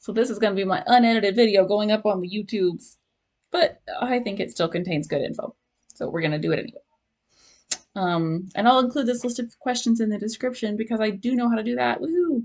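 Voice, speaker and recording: Her pitch fairly high and her intonation lively, a woman talks at a very fast pace. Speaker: ADHD support group organizer and vlogger. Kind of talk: casual talking-head advice vlog. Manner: casual, filler-heavy.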